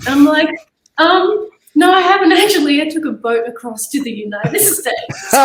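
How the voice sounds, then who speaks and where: A woman with an Australian accent speaks at a moderate pace in a high pitch. Her pitch swings are very wide, and her loudness shifts in big swings. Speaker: jiu-jitsu athlete. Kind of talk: interview.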